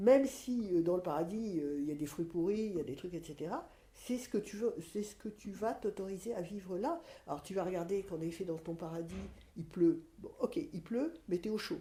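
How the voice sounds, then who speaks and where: This woman has a dark, mellow, somewhat breathy tone at a medium pitch. She speaks at a moderate pace with lively intonation. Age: 60s. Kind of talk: podcast interview, personal testimony. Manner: hesitant, many fillers and repetitions.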